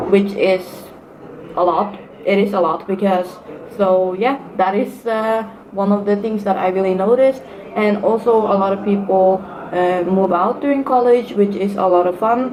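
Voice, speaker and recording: A woman speaks with a Norwegian accent at medium pitch and a moderate pace, using fairly even intonation and long, frequent pauses. Noticeable background noise and audible room echo are present. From Norway. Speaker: student vlogger. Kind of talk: casual vlog advice talk. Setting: sitting at university. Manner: hesitant, many fillers.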